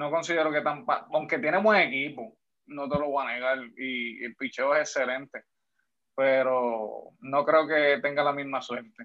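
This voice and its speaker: This man has a normal speaking voice, fairly high for a man, with ordinary pitch variation and a fairly slow pace. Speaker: podcast guest. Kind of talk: casual chat.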